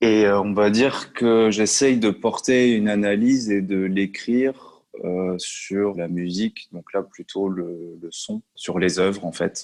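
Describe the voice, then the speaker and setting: Against a quiet background, a man with a fairly low pitch talks very slowly with fairly even intonation. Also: hardly any pauses. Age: 30s. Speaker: music industry consultant and trainer. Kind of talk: interview. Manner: hesitant, many fillers.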